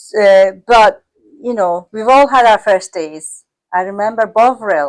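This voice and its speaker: With a non-native accent, a woman speaks at a fairly slow pace in a medium pitch, with ordinary pitch variation and big swings in loudness. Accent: foreign accent in English. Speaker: care business owner. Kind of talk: casual chat.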